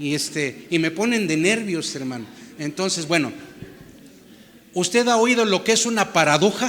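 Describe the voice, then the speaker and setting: A man at a fairly slow pace with lively intonation, audible room echo and noticeable background noise. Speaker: pastor. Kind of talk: sermon.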